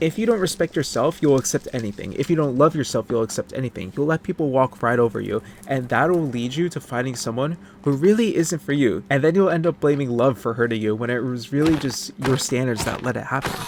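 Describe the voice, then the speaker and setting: A man talks at a very fast pace with hardly any pauses and lively intonation, over noticeable background noise. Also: medium pitch for a man. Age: 20s. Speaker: gaming commentary youtuber. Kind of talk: unscripted commentary over gameplay. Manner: casual, off the cuff.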